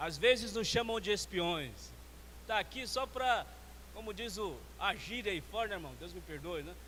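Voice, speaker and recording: A man's voice carries audible room echo. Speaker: church elder trainer / preacher. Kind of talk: sermon-style teaching talk. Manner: fast.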